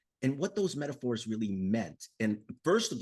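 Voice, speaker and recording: A plain, everyday voice from a man at medium pitch, over a quiet background. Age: 60s. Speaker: author. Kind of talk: interview.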